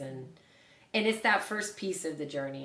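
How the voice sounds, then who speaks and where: A woman speaks with an American accent. Her pitch is very deep and low. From Oklahoma. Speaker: bioenergetic health practitioner. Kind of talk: interview answer.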